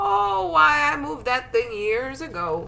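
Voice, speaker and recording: A put-on character voice with very wide pitch swings moves at a fairly slow pace over light background noise. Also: woman. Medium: read story.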